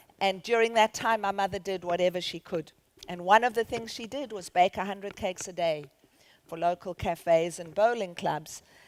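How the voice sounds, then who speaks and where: On a very clean recording with a silent background and a dry, close sound with no echo, a woman with a South African accent speaks at a moderate pace and medium pitch, with ordinary pitch variation and big swings in loudness. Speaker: charity founder and CEO. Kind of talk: conference keynote talk. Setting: stage with audience.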